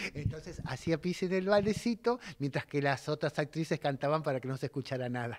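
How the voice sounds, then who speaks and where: A man talks at a fairly quick pace with hardly any pauses. His fairly high voice has lively intonation. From Argentina. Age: 60s. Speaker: theatre director. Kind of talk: interview. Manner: halting. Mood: warm, amused storytelling. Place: home room. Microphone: handheld.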